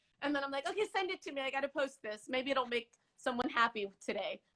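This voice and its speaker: Very fast, a woman speaks in a raised, projected voice with a high pitch. Her tone is bright and sharp, with ordinary pitch variation. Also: dry, close sound with no echo. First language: Farsi. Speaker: interview guest. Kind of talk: casual chat.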